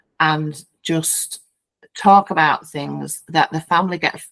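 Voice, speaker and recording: In a Yorkshire accent, a woman speaks at a fairly low pitch in a dry, close recording with no echo. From Yorkshire, England. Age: 50s. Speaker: founding director of a bereavement peer support group. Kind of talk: podcast interview answer.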